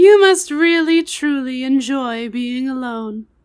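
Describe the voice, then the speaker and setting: Using a put-on character voice, a woman speaks fairly slowly at a high pitch with lively intonation. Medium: audio drama. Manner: articulate, confident, analytical.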